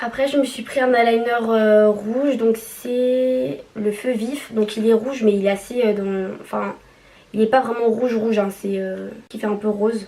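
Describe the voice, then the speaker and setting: In a plain, everyday voice, a woman talks fairly slowly at a fairly high pitch with fairly even intonation. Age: 20s. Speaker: nurse. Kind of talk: casual makeup haul talk to camera.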